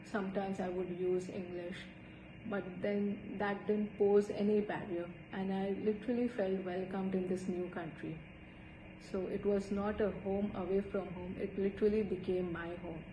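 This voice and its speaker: Someone speaks in an Indian accent at a moderate pace, with monotone, flat intonation. Audible room echo and noticeable background noise surround the voice. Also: woman, medium pitch for a woman. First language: Hindi. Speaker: student. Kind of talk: personal storytelling.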